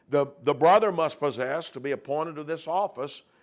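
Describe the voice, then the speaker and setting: A man has an unremarkable speaking voice with a fairly high pitch. He talks at a moderate pace. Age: 60s. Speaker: preacher. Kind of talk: sermon; reading aloud.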